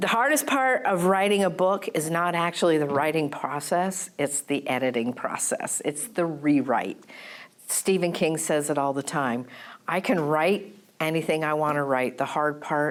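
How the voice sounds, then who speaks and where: In a very clean recording with a silent background, a woman speaks with an American accent at a moderate pace. Her pitch is very deep and low, and her intonation is lively. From Vermont, USA. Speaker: novelist. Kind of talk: public lecture.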